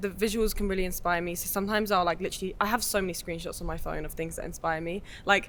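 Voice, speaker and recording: The intonation stays fairly even, in an English accent. The pace is very fast, with hardly any pauses. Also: woman. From England, Essex. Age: 20s. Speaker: film director. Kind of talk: casual interview chat.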